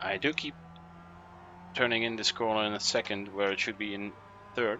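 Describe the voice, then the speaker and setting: A man's fairly low voice in a Dutch accent, at a fairly quick pace. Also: fairly even intonation. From Netherlands. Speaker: sim racing streamer. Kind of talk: live gaming commentary. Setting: attic at home, live stream. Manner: casual, hesitant with fillers.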